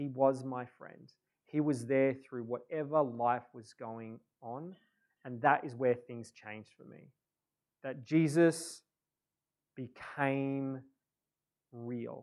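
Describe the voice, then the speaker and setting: At a very slow pace, a man with an Australian accent and a medium pitch speaks with long, frequent pauses and big swings in loudness. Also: fairly even intonation. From Australia, Adelaide. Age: 30s. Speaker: pastor. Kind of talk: sermon. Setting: church. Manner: halting.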